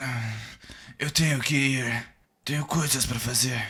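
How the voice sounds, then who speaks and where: A man speaks fairly slowly in a raspy, put-on character voice. His pitch sits at a medium level. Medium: short film. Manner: casual, cagey.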